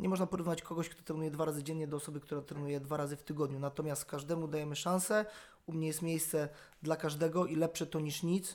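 Big swings in loudness mark a man talking very fast at a fairly high pitch with monotone, flat intonation. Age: 40s. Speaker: self-defence instructor. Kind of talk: casual interview.

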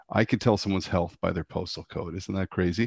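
This man has a very deep, low voice and a Canadian accent. He talks at a fairly quick pace against a quiet background. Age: 40s. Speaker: homelessness charity CEO. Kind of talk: interview conversation. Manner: halting, with frequent repetitions.

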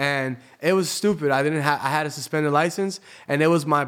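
An ordinary speaking voice with fairly even intonation. It moves at a fairly quick pace. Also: man. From Tampa, Florida. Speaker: DJ. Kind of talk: casual interview storytelling.

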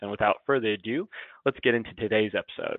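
Here is a man with an unremarkable speaking voice. His medium pitch shifts in an ordinary way. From Florida, West Palm Beach. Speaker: podcast co-host, HR professional. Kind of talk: podcast interview.

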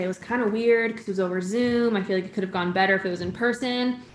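A woman with an American accent talks at a very fast pace, with medium pitch and fairly even intonation. Noticeable background noise can be heard. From Connecticut, New England. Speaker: singer-songwriter. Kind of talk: casual interview. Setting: video call.

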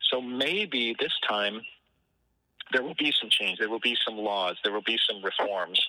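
A man's ordinary speaking voice, medium in pitch, at a fairly slow pace with ordinary pitch variation. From Michigan, Detroit area. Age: 60s. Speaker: guitarist. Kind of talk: interview. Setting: outdoors on a porch, remote call.

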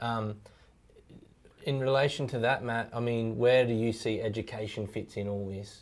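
A man with an Australian accent and monotone, flat intonation. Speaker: podcast host. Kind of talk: interview.

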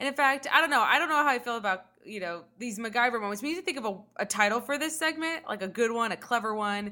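Talking at a very fast pace in an American accent, a woman with a fairly high pitch sounds animated, with a bright, sharp tone. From Los Angeles, California. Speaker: resident physician and podcast host. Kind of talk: casual chat, podcast hosting. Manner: animated, joking.

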